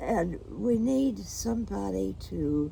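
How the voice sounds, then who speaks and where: A woman speaks with a Midwestern American accent. Her pace is very slow. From Kansas. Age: 80s+. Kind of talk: interview answer. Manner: slow, hesitant.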